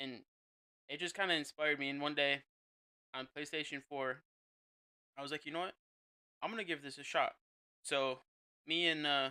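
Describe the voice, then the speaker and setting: The voice has a bright, sharp tone and fairly even intonation. It sounds dry and close, with no echo. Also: man. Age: 20s. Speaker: streamer. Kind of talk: casual chat.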